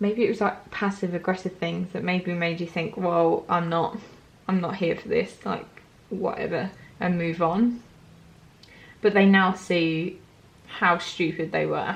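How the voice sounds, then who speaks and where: A woman's fairly slow, somewhat breathy delivery at a medium pitch, flat and monotone throughout. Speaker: tarot reader. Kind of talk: tarot reading to camera. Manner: casual, filler-heavy.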